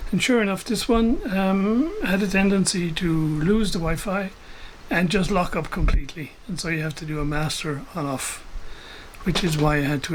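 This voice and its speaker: High-pitched male speech with noticeable background noise around it. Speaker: vintage radio hobbyist. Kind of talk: casual talk to camera.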